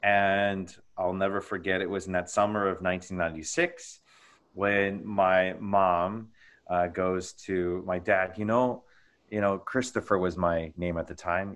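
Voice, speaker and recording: A man with a plain, everyday voice and a fairly low pitch speaks at a fairly slow pace with fairly even intonation against a quiet background. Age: 30s. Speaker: Greek Orthodox priest. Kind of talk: casual interview.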